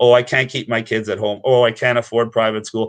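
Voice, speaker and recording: A man's medium-pitched voice at a very fast pace. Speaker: activist promoting private schooling. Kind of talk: impassioned advocacy speech. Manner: animated.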